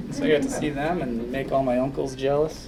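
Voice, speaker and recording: A man mumbles with an American accent at a moderate pace, with ordinary pitch variation. Audible room echo and noticeable background noise are present. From Minnesota, US Midwest. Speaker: orthopedic surgeon. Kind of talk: public talk. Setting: audience in a room. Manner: mumbling; quiet.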